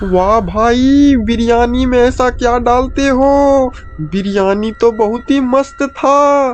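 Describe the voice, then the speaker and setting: Using a cartoonish character voice, a man speaks at an extremely high pitch and a very slow pace over clear background noise. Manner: boastful, bossy.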